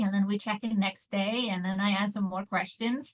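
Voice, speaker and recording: With an Icelandic accent, a woman speaks somewhat breathily at a moderate pace with fairly even intonation. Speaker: online business mentor. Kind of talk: interview.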